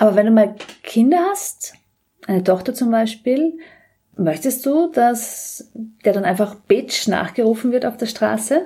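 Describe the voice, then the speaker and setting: A woman speaks in an ordinary speaking voice. She is fairly high-pitched and talks at a fairly slow pace. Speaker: politician and podcast host. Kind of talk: interview. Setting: in the guest's flat.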